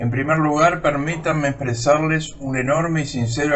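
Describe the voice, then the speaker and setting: Against noticeable background noise and audible room echo, a man speaks with ordinary pitch variation. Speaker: retired surgeon, academy lecturer. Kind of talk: recorded lecture. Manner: slow, sped up in editing; formal.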